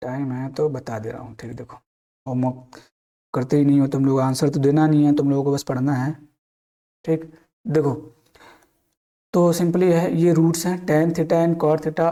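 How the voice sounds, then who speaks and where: A man with a fairly high pitch and a dark, mellow tone talks at a moderate pace. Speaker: maths teacher. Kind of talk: lecture. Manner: casual, repetitive.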